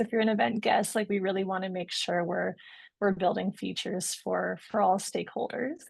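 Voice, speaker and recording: A woman with a slight Canadian accent speaks at a moderate pace in a medium pitch, her voice showing vocal fry against a quiet background. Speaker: product manager. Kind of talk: webinar Q&A answer.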